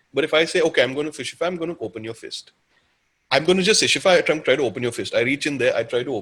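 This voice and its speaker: A man talks at a very fast pace, his pitch fairly high and his intonation lively. Vocal fry creeps into his voice. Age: 30s. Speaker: counsellor. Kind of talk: webinar Q&A talk. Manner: animated.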